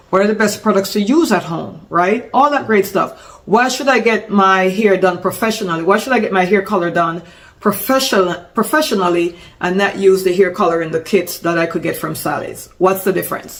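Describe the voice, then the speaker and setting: Animated in tone, a woman speaks at a fairly quick pace. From Jamaica. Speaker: salon business consultant, former hairstylist. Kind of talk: business tutorial. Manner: casual, animated with self-corrections.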